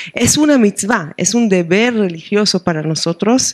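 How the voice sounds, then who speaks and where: With a slight Argentine accent, a woman speaks at medium pitch with ordinary pitch variation. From Israel, Jerusalem. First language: Hebrew (speaking Spanish). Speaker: rabbi and professor of liturgy. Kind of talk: book presentation interview. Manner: halting, with frequent hesitations.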